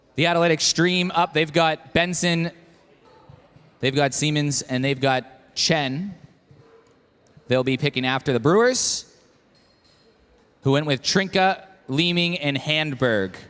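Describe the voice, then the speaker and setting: A man's fairly slow delivery with long, frequent pauses, ordinary pitch variation and very even loudness. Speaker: draft event host. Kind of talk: live event announcing. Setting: brewery venue with live audience.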